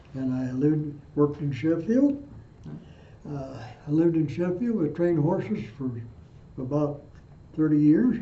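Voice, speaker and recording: In a room with audible echo, a man with a fairly high pitch speaks at a moderate pace, using ordinary pitch variation and long, frequent pauses. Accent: Midwestern US. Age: 80s+. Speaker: war veteran. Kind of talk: oral history interview. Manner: halting.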